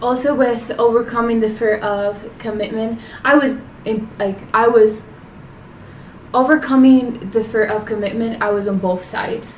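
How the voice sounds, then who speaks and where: Over noticeable background noise and audible room echo, a woman with a Spanish accent speaks at a moderate pace and fairly high pitch, her intonation fairly even and her speech marked by long, frequent pauses. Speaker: podcast co-host. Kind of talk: casual chat.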